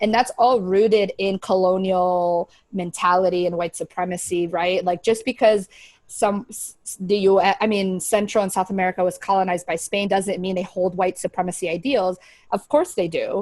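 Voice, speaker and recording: Heard dry and close with no echo, a woman talks at medium pitch and a moderate pace. Her intonation is fairly even, but her loudness swings widely. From US, partly raised in Paraguay. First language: Spanish. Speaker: video podcast co-host. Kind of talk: casual chat.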